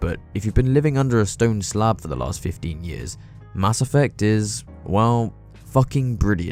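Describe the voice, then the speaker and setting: Someone speaks at a moderate pace with very wide pitch swings. Music plays in the background. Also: man. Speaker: video essayist. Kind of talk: casual commentary narration.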